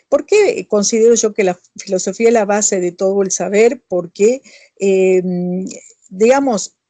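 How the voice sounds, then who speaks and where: A woman with an unremarkable speaking voice at medium pitch speaks at a fairly slow pace with fairly even intonation, in a dry, close sound with no echo. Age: 60s. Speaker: author and professor. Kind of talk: interview answers. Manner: conversational, with fillers and self-corrections.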